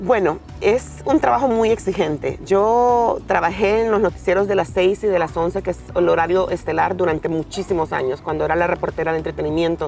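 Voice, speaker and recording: Against music in the background, a woman with a Honduran accent talks at a fairly quick pace with hardly any pauses. Her pitch is fairly low, with ordinary pitch variation. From Honduras, Puerto Cortés. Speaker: TV news reporter. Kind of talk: interview. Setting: outdoors.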